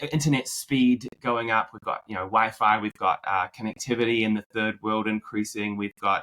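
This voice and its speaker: With a bright, sharp tone and fairly even intonation, a man speaks at a fairly low pitch in a dry, close sound with no echo. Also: moderate pace, hardly any pauses. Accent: American. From New Zealand. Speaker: marketing executive, former Broadway actor. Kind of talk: podcast interview.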